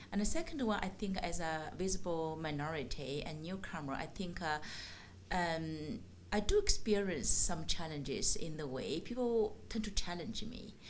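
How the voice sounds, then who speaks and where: A woman's fairly low-pitched voice with lively intonation and audible room echo. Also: moderate pace. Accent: Chinese. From China. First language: Chinese. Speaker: ESL teacher and program manager. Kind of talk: interview. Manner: halting, many fillers.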